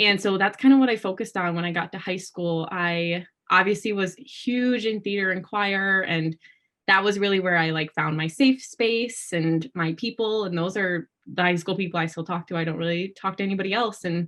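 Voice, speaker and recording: In an American accent, a woman with a normal speaking voice talks at a moderate pace, her medium pitch showing ordinary variation. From Wisconsin, US Midwest. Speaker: pageant titleholder. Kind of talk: casual interview chat.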